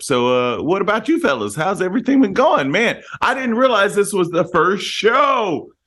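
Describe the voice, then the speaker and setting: A man speaks fairly quickly in a high, bright, sharp voice. His pitch swings very widely. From northern Louisiana (Monroe). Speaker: musician. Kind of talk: casual chat.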